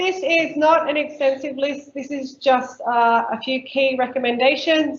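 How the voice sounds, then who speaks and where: With an Australian accent, a woman speaks fairly slowly in a high voice with fairly even intonation. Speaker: council workshop presenter on native bees. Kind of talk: workshop presentation.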